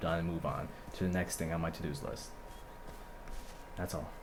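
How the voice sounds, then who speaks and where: A man speaks at a fairly quick pace with a very deep, low pitch. Noticeable background noise and audible room echo fill the recording. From New York. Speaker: gamer. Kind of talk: casual chat.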